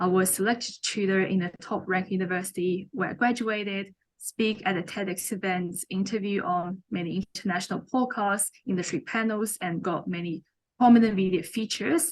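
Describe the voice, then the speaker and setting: This woman talks at a moderate pace in a Chinese accent. Her pitch varies in an ordinary way. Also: medium pitch for a woman. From China. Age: young. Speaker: mentor and author. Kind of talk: interview.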